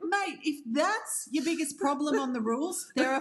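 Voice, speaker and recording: Over music in the background, a woman speaks in a high voice with very wide pitch swings. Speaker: podcast host. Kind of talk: podcast interview. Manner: upbeat.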